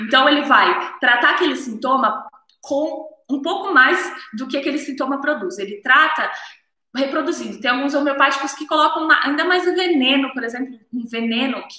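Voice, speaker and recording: A woman's high-pitched, raised, projected voice moves at a moderate pace with ordinary pitch variation and big swings in loudness, set in audible room echo. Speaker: naturopathy teacher. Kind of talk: live stream lecture. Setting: live stream on camera.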